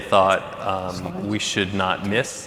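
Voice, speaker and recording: A man talks at a fairly slow pace with a fairly low pitch. Audible room echo and noticeable background noise surround him. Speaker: panel moderator. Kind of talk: panel moderation. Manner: loud.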